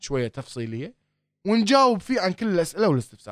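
His pitch swings very widely as a man speaks in a dry, close sound with no echo. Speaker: startup accelerator founder. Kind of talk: interview.

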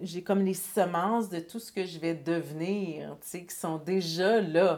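A woman talks at a medium pitch. Her pace is very slow. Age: 40s. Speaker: author and entrepreneur. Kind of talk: casual interview.

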